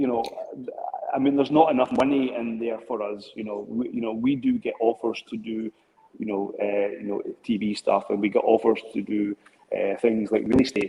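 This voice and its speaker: With a Scottish accent, a man talks at a moderate pace and medium pitch, his intonation fairly even. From Scotland. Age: 50s. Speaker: drone business owner. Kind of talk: interview. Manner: halting.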